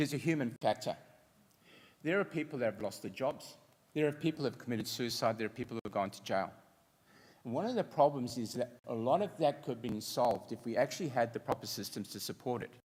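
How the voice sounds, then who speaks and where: With an Australian accent, a man rattles along at a very fast pace, his intonation lively. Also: medium pitch for a man. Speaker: fintech entrepreneur. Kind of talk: conference presentation.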